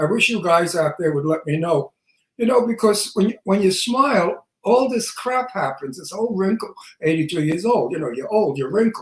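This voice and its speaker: A man with a Brooklyn accent, high-pitched, at a moderate pace, with lively intonation. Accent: Brooklyn New York. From Brooklyn, New York. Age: 80s+. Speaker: talk show co-host, actor. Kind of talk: casual chat. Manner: animated.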